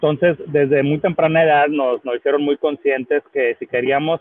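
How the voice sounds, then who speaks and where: His intonation is fairly even. The man keeps up a fairly quick pace. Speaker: business executive. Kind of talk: panel discussion. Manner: halting, many fillers and repetitions.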